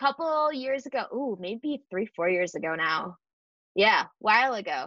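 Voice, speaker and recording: A bright, sharp tone with an American accent, very wide pitch swings and a moderate pace against a quiet background. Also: woman. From US Northeast, Buffalo, New York. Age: 20s. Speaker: community founder and entrepreneur. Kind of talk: casual interview chat.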